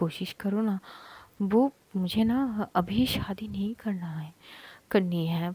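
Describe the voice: The pitch varies in an ordinary way as the text is read aloud plainly.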